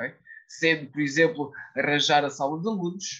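At a moderate pace, a man speaks in a fairly high register. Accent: European Portuguese. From Portugal. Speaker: law student and youth politics figure. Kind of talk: interview answers, political discussion.

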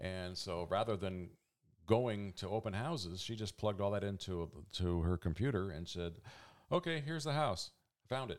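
In a very clean recording with a silent background, a man with a normal speaking voice talks at a moderate pace with fairly low pitch. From Oregon, US Pacific Northwest (Eugene). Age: 60s. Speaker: radio volunteer and office supervisor. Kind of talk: interview storytelling. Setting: at home, in his office.

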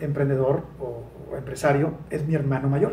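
Audible room echo around a man's somewhat breathy voice. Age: 40s. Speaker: sales expert and author. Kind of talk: interview.

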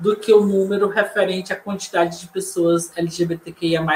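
A man with a high pitch, fairly slow pace and fairly even intonation, big swings in loudness, over noticeable background noise. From Fortaleza, Ceará, northeast Brazil. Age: 30s. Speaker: poet and community librarian. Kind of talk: online panel discussion.

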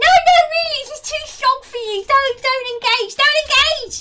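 A woman's put-on character voice, extremely high, squeaky and shrill, panicked in tone, fairly slow, with big swings in loudness. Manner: shrieking, panicked.

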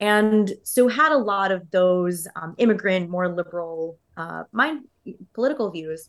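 A normal speaking voice, a woman with an American accent at medium pitch, fairly slow, with lively intonation and big swings in loudness. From Texas, Houston. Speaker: fintech strategy executive and startup co-founder. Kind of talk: interview.

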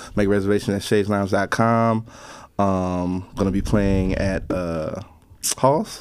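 Fairly low in pitch and fairly even in intonation, a man talks at a fairly slow pace in a plain, everyday voice. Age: 30s. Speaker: bass player and band leader. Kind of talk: casual interview.

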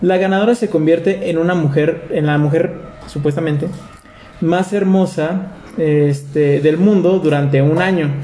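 With a Mexican accent, a man speaks at a fairly slow pace and high pitch, his loudness very even, with noticeable background noise behind him. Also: fairly even intonation. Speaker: podcast host. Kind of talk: casual chat.

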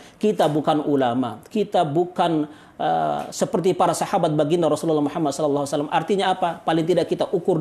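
A man is speaking at a fairly quick pace. His pitch variation is ordinary. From Indonesia, Bima, West Nusa Tenggara. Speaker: Islamic preacher. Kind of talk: religious talk in interview.

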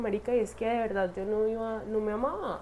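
Fairly high woman's voice at a moderate pace, with audible room echo. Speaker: podcaster. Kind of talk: personal monologue. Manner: casual, halting with fillers.

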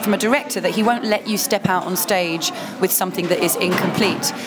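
Music plays in the background as a woman speaks at a fairly quick pace, her pitch fairly high with ordinary variation. Audible room echo surrounds her voice. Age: 30s. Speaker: cabaret performer. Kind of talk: casual chat. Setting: noisy coffee shop.

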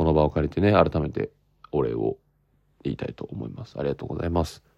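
A man's very deep, low voice, dark and mellow with vocal fry, at a fairly quick pace, dry and close with no echo. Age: 20s. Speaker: actor hosting his own podcast. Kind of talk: casual solo podcast talk. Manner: animated.

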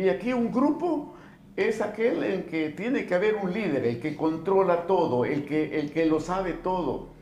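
A man's high voice with very wide pitch swings, a fairly slow pace, audible room echo and noticeable background noise. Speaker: political activist and former teacher. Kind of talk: casual chat. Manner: halting.

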